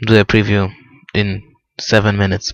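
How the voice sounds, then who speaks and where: A man speaks with a Polish accent in a bright, sharp tone. His intonation is monotone and flat. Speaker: motorsport video blogger. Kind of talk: race preview commentary. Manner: halting.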